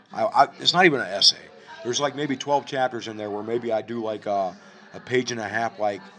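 A man with an American accent at a medium pitch, fairly quick and with ordinary pitch variation, over noticeable background noise. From Ohio. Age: 40s. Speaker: writer and poet. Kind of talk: casual chat. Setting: cafe.

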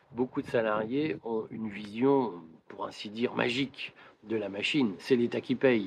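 A man speaks in a plain, everyday voice at medium pitch with ordinary pitch variation. His pace is fairly slow. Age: 50s. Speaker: political commentator and business owner. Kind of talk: explanatory monologue to camera. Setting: outdoors in a garden.

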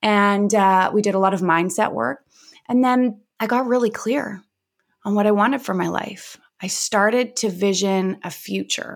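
A woman with a Canadian accent, an ordinary speaking voice, medium pitch, ordinary pitch variation and a fairly slow pace, on a very clean recording with a silent background. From Vancouver, Canada. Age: 30s. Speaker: mental health and wellbeing coach. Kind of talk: interview, personal story and advice.

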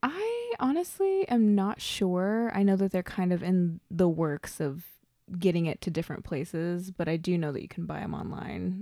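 A woman at medium pitch, with ordinary pitch variation and a moderate pace. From Oklahoma. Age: 20s. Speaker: poet and college student. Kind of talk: casual chat.

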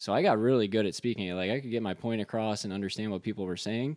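In a quiet background, a man with fairly low pitch and an unremarkable speaking voice talks with fairly even intonation, the sound dry and close with no echo. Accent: American. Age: 20s. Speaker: mortgage professional. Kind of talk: casual chat.

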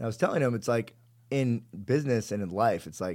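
Recorded very cleanly against a silent background, a man speaks at medium pitch with ordinary pitch variation and an unremarkable speaking voice. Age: 30s. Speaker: entrepreneur and fitness trainer. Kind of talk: casual interview chat.

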